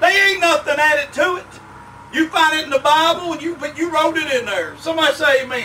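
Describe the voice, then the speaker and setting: A man with an American accent, his raised, projected voice extremely high in pitch, at a fairly quick pace with big swings in loudness, amid noticeable background noise. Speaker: preacher. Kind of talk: revival sermon. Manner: fervent, emphatic.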